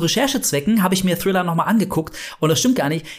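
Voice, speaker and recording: The tone here is animated. Intonation stays lively throughout. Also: man. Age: 40s. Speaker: horror podcast co-host. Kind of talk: casual chat.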